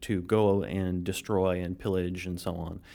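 Speaking at a fairly slow pace, the man has a very deep, low pitch. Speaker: game designer. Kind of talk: casual interview.

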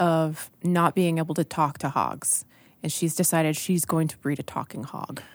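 A woman talks at a fairly slow pace in a fairly low pitch. It is a normal speaking voice, on a very clean recording with a silent background. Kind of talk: casual chat.

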